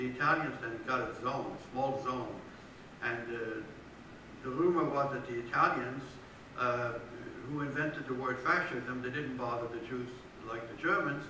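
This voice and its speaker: A man at a moderate pace with fairly even intonation and long, frequent pauses, amid noticeable background noise and audible room echo. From Belgium. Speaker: historian and author. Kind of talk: interview at a public book talk. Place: church. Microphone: camera far.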